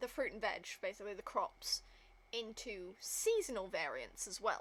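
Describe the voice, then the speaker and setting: A woman with a British accent speaks at a moderate pace. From Britain. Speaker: gaming streamer. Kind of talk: casual gameplay commentary.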